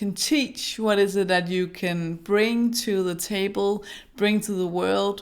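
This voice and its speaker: With a Danish accent, a woman talks at a fairly slow pace in a medium pitch with ordinary pitch variation. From Denmark. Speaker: brand designer and small business coach. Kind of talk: vlog advice talk. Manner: halting.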